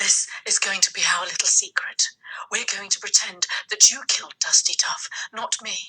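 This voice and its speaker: Using a put-on character voice, a woman speaks at a moderate pace with an extremely high pitch, sounding raspy and breathy. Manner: fast.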